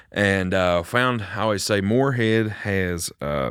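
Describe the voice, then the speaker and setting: With an Appalachian accent and ordinary pitch variation, a man speaks on a very clean recording with a silent background. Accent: Appalachian Kentucky. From Kentucky, Bath County. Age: 20s. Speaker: singer-songwriter. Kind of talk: casual chat.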